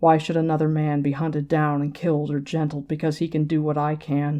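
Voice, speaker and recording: A put-on character voice at a middle pitch delivers its lines in a monotone, flat intonation against a quiet background. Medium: read story. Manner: grave, intense.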